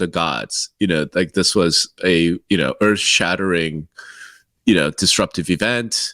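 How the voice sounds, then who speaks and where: A man speaks at a moderate pace in a bright, sharp tone, on a very clean recording with a silent background and a dry, close sound with no echo. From Korea, moved to the US as a child. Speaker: real estate podcast co-host. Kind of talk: casual chat.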